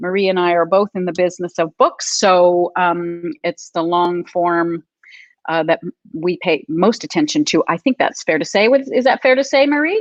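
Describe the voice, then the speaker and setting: With an ordinary speaking voice, a woman speaks at a fairly low pitch and a moderate pace with lively intonation, the sound dry and close with no echo over a quiet background. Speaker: publisher and webinar host. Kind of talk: live webinar chat. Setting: live stream video call.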